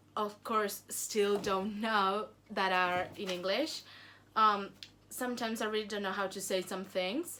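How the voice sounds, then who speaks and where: In a Spanish accent, a woman with a bright, sharp tone speaks at a medium pitch and a fairly slow pace, her intonation fairly even. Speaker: YouTuber. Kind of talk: casual Q&A vlog. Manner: hesitant, many fillers and repeats.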